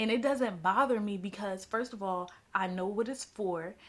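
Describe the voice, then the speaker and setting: This woman's voice sits fairly high and has ordinary pitch variation. Her tone is animated. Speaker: personal finance vlogger. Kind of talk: casual advice vlog. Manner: fast.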